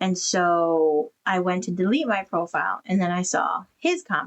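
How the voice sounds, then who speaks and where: Speaking at a fairly slow pace, a woman has an unremarkable speaking voice. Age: 30s. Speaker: podcast co-host, widow. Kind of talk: casual chat. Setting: live stream.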